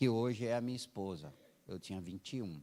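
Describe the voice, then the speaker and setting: A male speaker with an unremarkable speaking voice, ordinary pitch variation and a moderate pace. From Brazil, Alagoas (rural Northeast). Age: 60s. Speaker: missionary church planter, guest preacher. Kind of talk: sermon with personal testimony. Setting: church service.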